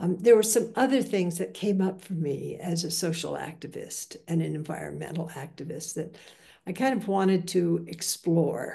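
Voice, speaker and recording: This woman's fairly low voice has a dark, mellow tone and some vocal fry, with ordinary pitch variation. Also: moderate pace. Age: 80s+. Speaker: Buddhist teacher. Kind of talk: dharma talk. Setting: video call. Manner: halting, with frequent fillers.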